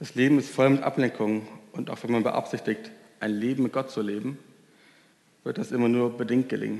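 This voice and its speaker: A man's dark, mellow, medium-pitched voice, monotone and flat, at a fairly quick pace broken by long, frequent pauses. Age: 20s. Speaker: volunteer youth preacher. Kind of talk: sermon.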